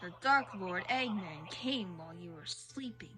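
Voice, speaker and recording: A female-sounding, put-on character voice at a medium pitch for a woman moves at a moderate pace. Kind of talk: solemn fantasy narration. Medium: game stream. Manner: formal, archaic.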